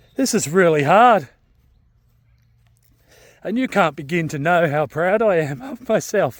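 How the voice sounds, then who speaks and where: A man with an Australian accent, high in pitch and lively in intonation, at a fairly slow pace with long, frequent pauses, on a very clean recording with a silent background. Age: 50s. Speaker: shift worker and amateur runner. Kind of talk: casual vlog talk to camera.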